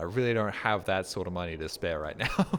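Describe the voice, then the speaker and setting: A man with an Australian accent at a fairly quick pace, with very wide pitch swings and vocal fry. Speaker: video game streamer. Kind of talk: casual gameplay commentary. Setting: live stream. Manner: animated.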